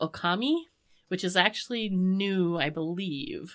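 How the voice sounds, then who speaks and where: A woman is speaking. Her pitch sits in the medium range. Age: 40s. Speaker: podcast co-host. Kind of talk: casual chat. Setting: home studio.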